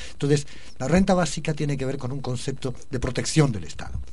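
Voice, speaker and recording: Over audible room echo, a man talks at a very fast pace with ordinary pitch variation. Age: old. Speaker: activist. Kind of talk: radio interview.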